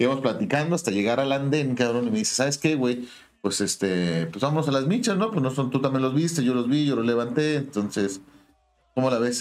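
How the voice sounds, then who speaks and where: Lively intonation and a fairly quick pace mark a plain, everyday voice. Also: man. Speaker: podcast co-host. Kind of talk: casual chat.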